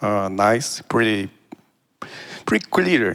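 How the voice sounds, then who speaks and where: A man speaks with a Portuguese accent. His intonation is fairly even. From Brazil. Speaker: audience member. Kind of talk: audience question. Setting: event with live audience. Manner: halting, many fillers.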